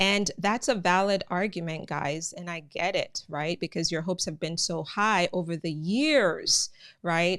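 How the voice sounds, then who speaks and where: A woman's fairly low voice with a slight Jamaican accent, ordinary pitch variation and a moderate pace, on a very clean recording with a silent background. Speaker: immigration news channel host. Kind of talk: live stream commentary. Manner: conversational, many filler words.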